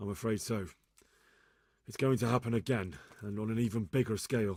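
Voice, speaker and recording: A man's raspy, put-on character voice at medium pitch, fairly quick in pace with ordinary pitch variation. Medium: video game.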